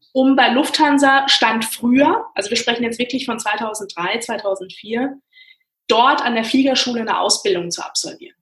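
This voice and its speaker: With ordinary pitch variation, a woman talks at a moderate tempo in a high voice. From Frankfurt, Germany. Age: 30s. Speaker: airline pilot. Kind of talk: interview.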